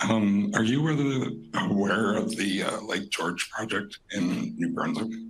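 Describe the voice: A man puts on a hoarse character voice at medium pitch. He speaks at a fairly slow pace.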